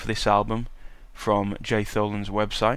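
A man speaks with a British accent at a moderate pace. His medium-pitched voice stays monotone and flat. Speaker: podcast host and university student. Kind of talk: casual solo podcast monologue. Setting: home podcasting desk. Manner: casual, chatty, with filler words.

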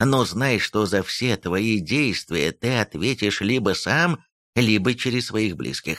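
Over a quiet background, an unforced reading voice and ordinary pitch variation

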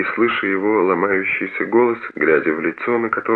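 Someone is reading. It is plain reading aloud.

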